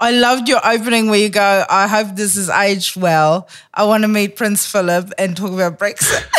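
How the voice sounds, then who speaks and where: A woman with a South African accent, medium pitch, fairly even intonation and hardly any pauses. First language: Afrikaans. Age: 40s. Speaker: comedian. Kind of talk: casual chat. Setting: studio. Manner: fast talker.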